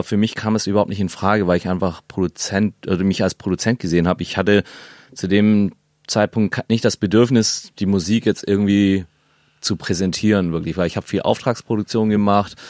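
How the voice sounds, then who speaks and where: This is a plain, everyday voice at a fairly quick pace. The recording is very clean with a silent background and a dry, close sound with no echo. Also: man. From Stuttgart, southwest Germany. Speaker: electronic music producer and label owner. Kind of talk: casual interview. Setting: studio.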